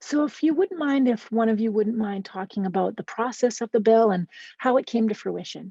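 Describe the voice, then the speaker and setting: Speaking at a fairly quick pace, a woman with a fairly high pitch, a dark, mellow tone and a somewhat breathy quality uses ordinary pitch variation, recorded dry and close with no echo against a quiet background. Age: 30s. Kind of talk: interview moderating. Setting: office.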